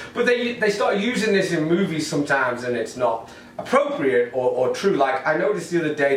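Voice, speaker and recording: This man's high-pitched voice moves through very wide pitch swings at a fairly quick pace. There is audible room echo and noticeable background noise. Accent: English. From northern England, Manchester. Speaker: stand-up comedian. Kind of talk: stand-up. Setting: home recording to camera, no audience.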